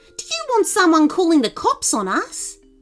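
A woman performs a put-on character voice at an extremely high pitch. Her pitch swings very widely as she goes at a moderate pace.

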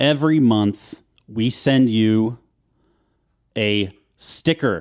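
Lively intonation in a normal speaking voice, on a very clean recording with a silent background. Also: man. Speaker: podcast co-host. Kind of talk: casual chat.

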